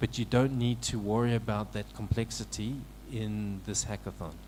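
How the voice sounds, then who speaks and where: Soft-spoken, a man talks at a moderate pace. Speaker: technical mentor presenting at a hackathon. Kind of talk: technical presentation. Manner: halting, many fillers and repeats.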